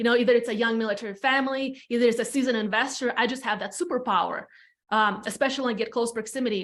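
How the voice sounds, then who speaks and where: In a very clean recording with a silent background, a woman with an Eastern European accent speaks at a very fast pace and a fairly high pitch. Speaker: real estate team leader. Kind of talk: podcast interview, personal story. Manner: casual, animated.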